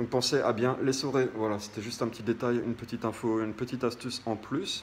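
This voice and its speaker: Against noticeable background noise, a man of medium pitch speaks in a flat monotone at a moderate pace. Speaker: DIY home tips youtuber. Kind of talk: casual tutorial. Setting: home, walking while talking. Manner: hesitant, many fillers.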